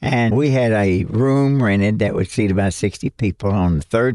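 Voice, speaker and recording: With a Kentucky accent and a dark, mellow tone, a man speaks at a fairly low pitch and moderate pace with ordinary pitch variation, in a dry, close sound with no echo against a quiet background. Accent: Kentucky Southern US. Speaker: missionary telling his church-planting story. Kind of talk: storytelling interview, recounting.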